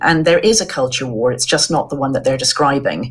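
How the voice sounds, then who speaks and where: A woman with an Irish accent and very wide pitch swings. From Ireland. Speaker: journalist. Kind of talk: interview. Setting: video call. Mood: earnest, concerned. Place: home room.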